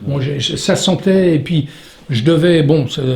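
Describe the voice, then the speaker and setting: Noticeable background noise behind a voice of ordinary pitch variation. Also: man. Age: 60s. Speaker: stuntman. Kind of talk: interview. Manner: halting.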